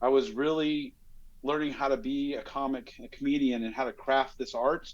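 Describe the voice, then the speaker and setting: A man talks at a moderate pace. His pitch sits fairly high. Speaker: police commander and comedian. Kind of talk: podcast interview.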